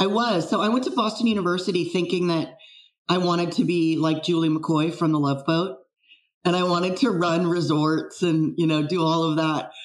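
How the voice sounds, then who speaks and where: A woman with a General American accent, fairly low pitch, ordinary pitch variation, very even loudness and a moderate pace, with audible room echo. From US West Coast, San Francisco Bay Area. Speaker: wine fraud expert. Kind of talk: casual interview.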